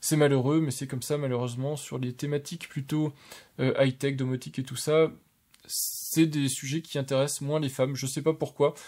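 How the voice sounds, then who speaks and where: A man talks at a moderate pace in a dark, mellow tone with a fairly high pitch. His intonation stays monotone and flat. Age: 30s. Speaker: tech YouTuber. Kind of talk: casual video review of channel statistics. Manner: hesitant, many fillers.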